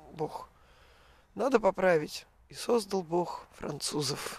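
This woman talks with lively intonation. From Russia, Urals (Kamensk-Uralsky). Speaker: emigrant. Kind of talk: casual chat. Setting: outdoors.

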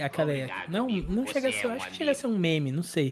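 The man's voice sits high in pitch. His intonation is lively. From Santos, São Paulo coast, Brazil. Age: 30s. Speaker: gaming streamer. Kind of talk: casual chat.

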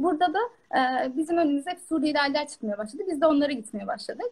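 With lively intonation, a woman speaks in a high voice. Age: 20s. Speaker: dietitian. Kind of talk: casual chat.

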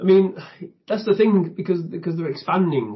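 Here a man talks with a northern English accent and a somewhat breathy voice. He keeps a moderate pace, with ordinary pitch variation. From northern England. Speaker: YouTube reviewer. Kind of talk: casual chat.

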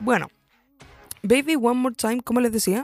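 A woman's voice with a dark, mellow tone is heard in a very clean recording with a silent background. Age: 20s. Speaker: podcast host. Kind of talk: casual monologue. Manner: hesitant, many fillers.

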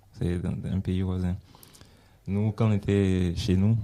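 Very deep and low, a man's voice carries a dark, mellow tone at a moderate pace with monotone, flat intonation. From Benin. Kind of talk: casual chat.

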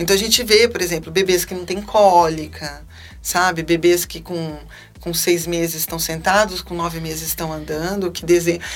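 A woman in a calm tone at a moderate pace, her loudness swinging widely, with noticeable background noise. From Brazil, Salvador, Bahia. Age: 40s. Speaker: physician. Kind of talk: interview. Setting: studio.

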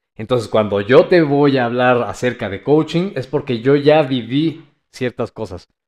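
An ordinary speaking voice from a man, medium in pitch with ordinary pitch variation, at a fairly slow pace over a quiet background. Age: 30s. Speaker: life coach. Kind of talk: casual chat.

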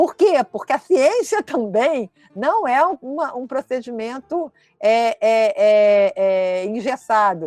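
Very slowly, a woman speaks at a high pitch with very wide pitch swings, recorded dry and close with no echo. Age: 60s. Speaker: history professor. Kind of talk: lecture. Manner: halting, with many repeated fillers.

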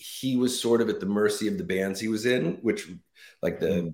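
With an American accent, a man speaks in a plain, everyday voice at a medium pitch with ordinary pitch variation. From Los Angeles, US. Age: 50s. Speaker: rock bassist. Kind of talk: interview. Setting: remote call.

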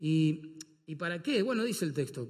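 A man with an ordinary speaking voice, fairly high pitch and lively intonation. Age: 50s. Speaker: pastor. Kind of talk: sermon.

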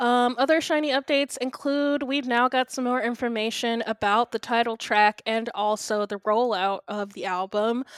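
A high-pitched woman at a moderate pace with ordinary pitch variation and hardly any pauses, in a dry, close sound with no echo. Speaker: podcast host. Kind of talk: casual chat.

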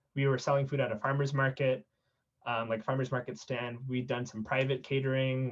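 This man speaks with an American accent. His pitch sits in the medium range. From South San Francisco, California. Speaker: nonprofit cofounder. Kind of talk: interview. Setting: podcast.

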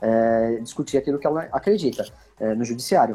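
A man's dark, mellow voice moves at a fairly quick pace. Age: 40s. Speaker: company executive, fleet fines specialist. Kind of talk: podcast interview.

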